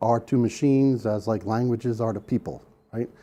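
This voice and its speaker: A man with a New York accent, medium in pitch, dark and mellow in tone. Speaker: sales engineer presenter. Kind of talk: conference presentation. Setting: room with live audience. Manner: casual, conversational.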